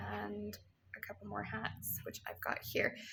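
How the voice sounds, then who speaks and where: Here a woman speaks with a Canadian accent. The recording is very clean, with a silent background. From Canada. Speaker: yarn shop owner and knitting podcaster. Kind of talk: casual podcast monologue. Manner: hesitant, many fillers.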